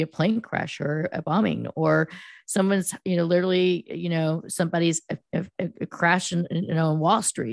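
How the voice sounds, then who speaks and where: In an American accent, a woman with a normal speaking voice and fairly low pitch talks at a moderate pace, the sound dry and close with no echo over a quiet background. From US West Coast, Silicon Valley. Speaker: PR firm founder, former news reporter. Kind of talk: interview.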